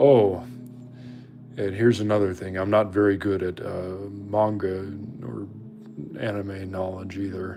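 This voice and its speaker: Over music in the background and audible room echo, the speech moves at a fairly slow pace with long, frequent pauses, big swings in loudness and fairly even intonation. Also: man, fairly low pitch for a man. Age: 20s. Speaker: livestreamer and artist. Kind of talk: casual live stream chat while drawing.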